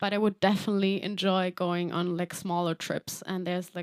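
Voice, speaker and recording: With a German accent, a woman speaks in a monotone, flat intonation, recorded very cleanly against a silent background with a dry, close sound and no echo. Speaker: singer-songwriter. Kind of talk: livestream Q&A. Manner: casual, hesitant with fillers.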